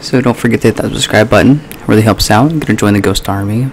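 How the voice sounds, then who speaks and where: Over light background noise, a man talks in a fairly low pitch. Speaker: youtuber. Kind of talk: casual vlog chat. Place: home room. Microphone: studio mic.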